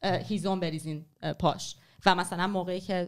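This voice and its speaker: The setting is quiet behind a woman. She talks at a moderate pace, her intonation fairly even. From Iran. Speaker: writer and former journalist; podcast guest. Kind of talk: history talk in casual podcast chat. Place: studio. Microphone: studio mic.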